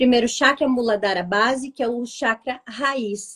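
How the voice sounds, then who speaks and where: Against a quiet background, a woman talks in a high pitch with ordinary pitch variation. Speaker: vibrational therapist. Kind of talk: live interview, explaining. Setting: online live stream.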